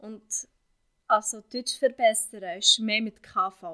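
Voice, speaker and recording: Fairly even intonation carries speech that moves very slowly. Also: woman. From Syria. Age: 20s. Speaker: vocational trainee. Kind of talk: interview. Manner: halting.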